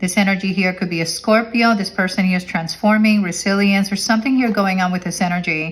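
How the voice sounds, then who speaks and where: A woman with a medium-pitched, somewhat breathy voice talks at a very fast pace with hardly any pauses and fairly even intonation. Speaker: tarot reader. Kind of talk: tarot reading monologue. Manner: halting, self-correcting.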